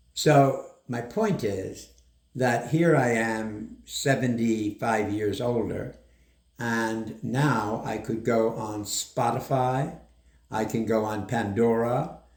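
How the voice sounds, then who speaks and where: A man speaks at a very slow pace in a medium pitch with fairly even intonation. Audible room echo surrounds his voice. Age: 80s+. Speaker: doctor. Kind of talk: interview.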